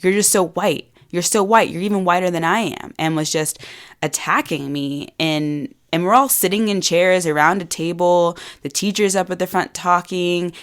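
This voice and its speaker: A woman with an unremarkable speaking voice, fairly low in pitch with ordinary pitch variation, at a moderate pace in a very clean recording with a silent background. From US South. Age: 20s. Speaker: podcast host and women's empowerment coach. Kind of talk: personal storytelling podcast monologue.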